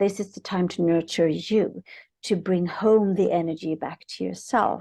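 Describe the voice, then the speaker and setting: A woman's fairly low, dark and mellow voice at a moderate pace, with fairly even intonation over a quiet background. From Sweden. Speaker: author and spiritual coach. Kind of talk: casual chat.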